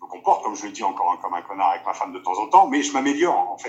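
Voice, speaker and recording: Speech rushes at a very fast pace with ordinary pitch variation. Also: man. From Picardie, northern France. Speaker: former professional rugby player and actor. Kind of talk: interview. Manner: hesitant.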